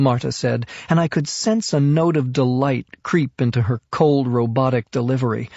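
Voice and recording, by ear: With ordinary pitch variation, this person reads aloud, sounding natural.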